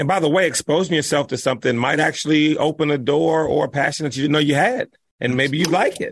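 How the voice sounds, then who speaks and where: A man speaks at a very fast pace in a fairly high pitch, his tone animated. His pitch varies in an ordinary way. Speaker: golf podcast host. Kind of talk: casual chat. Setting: video call.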